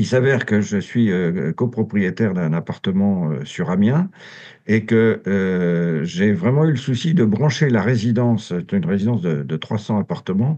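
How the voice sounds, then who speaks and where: Over a quiet background, a man uses lively intonation in a dark, mellow tone at a fairly low pitch. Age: 70s. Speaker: former association director, environmental volunteer. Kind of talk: podcast interview. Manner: hesitant, many fillers.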